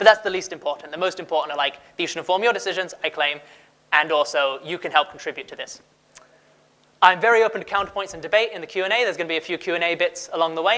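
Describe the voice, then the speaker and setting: A man with a non-native accent, high-pitched and bright, sharp in tone, at a very fast pace with ordinary pitch variation. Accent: foreign. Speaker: conference speaker, research manager. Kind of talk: conference talk. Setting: stage with audience. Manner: casual.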